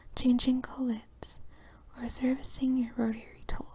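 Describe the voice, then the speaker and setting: The speaker whispers in a soft-spoken way at a fairly slow pace. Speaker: ASMR reader. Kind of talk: whisper ASMR reading of an instruction manual for sleep. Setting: relaxation and sleep audio. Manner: whispered, soft-spoken.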